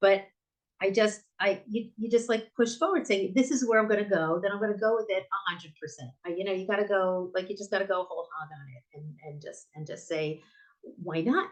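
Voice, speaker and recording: A woman's medium-pitched voice in an American accent, at a fairly quick pace with lively intonation and big swings in loudness. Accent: American accent in Hebrew. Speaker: bookstore owner. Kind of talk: interview conversation. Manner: halting, many fillers and restarts.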